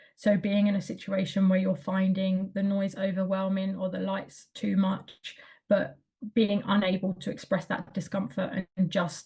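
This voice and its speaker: Monotone and flat, a woman speaks at a medium pitch and a moderate pace. Her somewhat breathy voice has a dark, mellow tone. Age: adult. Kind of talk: presentation. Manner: hesitant with fillers.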